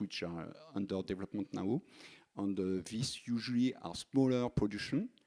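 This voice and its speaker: Here a man with a French accent talks at a moderate pace, his fairly low voice dark and mellow in tone with ordinary pitch variation. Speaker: energy company engineer. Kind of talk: panel talk. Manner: halting.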